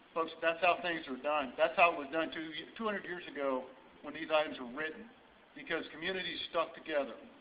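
At a fairly quick pace, a man with an American accent and a fairly high pitch speaks with ordinary pitch variation over light background noise. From Indiana, US Midwest. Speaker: sheriff candidate. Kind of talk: rally speech. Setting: rally audience, live event. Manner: earnest, fiery. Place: hall. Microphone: camera far.

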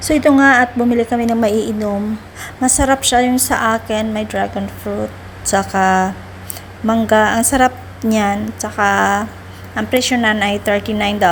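Noticeable background noise sits behind a woman's voice. She has a fairly high pitch and talks at a fairly slow pace. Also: fairly even intonation. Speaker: vlogger and domestic helper in Hong Kong. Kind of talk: casual travel vlog. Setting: outdoors on a trip.

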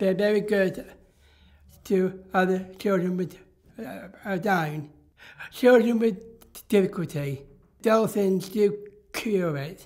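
Against a quiet background, a man with a high pitch speaks at a very slow pace with long, frequent pauses. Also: ordinary pitch variation. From Somerset, England. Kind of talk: interview answer.

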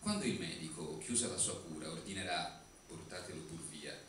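A man talks at a moderate pace, with audible room echo and light background noise. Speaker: writer. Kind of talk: poetry reading. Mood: ironic, theatrical. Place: stage.

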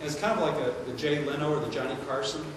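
A man talks with ordinary pitch variation amid noticeable background noise and strong room echo. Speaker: lecturer. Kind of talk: lecture. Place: hall.

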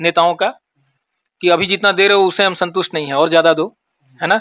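In a quiet background, a man uses a raised, projected voice with a bright, sharp tone and a dry sound with no echo. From Jharkhand, India. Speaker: lawyer; interviewee. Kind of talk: interview. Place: office. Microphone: handheld.

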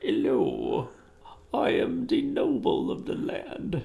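A put-on character voice, high-pitched and delivered at a very slow pace. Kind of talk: formal, aristocratic. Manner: pompous, lofty.

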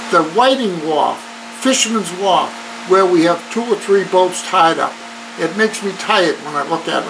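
Noticeable background noise runs under a man's high-pitched voice. He keeps a moderate pace with ordinary pitch variation. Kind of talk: interview answer. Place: office. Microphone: camera far.

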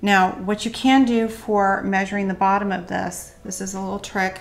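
The delivery is monotone and flat, with faint music playing in the background. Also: woman. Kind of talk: tutorial. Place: kitchen. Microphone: studio mic.

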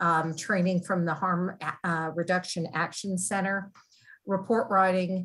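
A somewhat breathy woman at a fairly slow pace, fairly even intonation, quiet background. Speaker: public safety department official. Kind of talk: public meeting briefing. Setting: video call. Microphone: video call.

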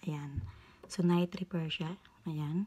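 A somewhat breathy female voice with a dark, mellow tone and fairly even intonation. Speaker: beauty vlogger. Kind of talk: tutorial. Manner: halting.

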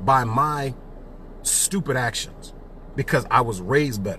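An animated man with an American accent at a fairly slow pace, the sound dry with no echo, over light background noise. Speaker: executive director of a civic advocacy group. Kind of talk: casual livestream commentary. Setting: Facebook Live from a car while driving. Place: car. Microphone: phone near.

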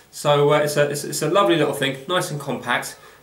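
The speech moves at a very fast pace. Room echo is audible around it. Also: man. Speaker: online seller demonstrating a product. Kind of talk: tutorial. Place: home room. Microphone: camera far.

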